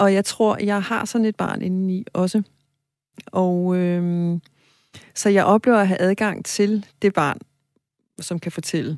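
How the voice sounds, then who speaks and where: A woman speaks at a very slow pace with long, frequent pauses. The sound is dry and close with no echo. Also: medium pitch for a woman, fairly even intonation. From Greenland. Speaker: novelist. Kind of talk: interview. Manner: hesitant, many filler sounds.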